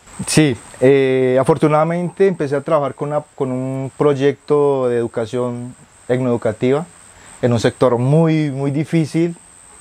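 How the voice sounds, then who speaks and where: This is a man with an unremarkable speaking voice. His pitch is fairly high and his intonation fairly even. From Colombian Amazon, Putumayo. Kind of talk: interview, life story.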